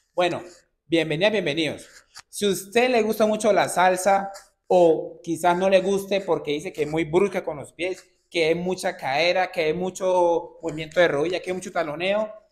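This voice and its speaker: A man with a high voice speaks at a moderate pace and with fairly even intonation. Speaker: dance instructor. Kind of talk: tutorial. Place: studio. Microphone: camera far.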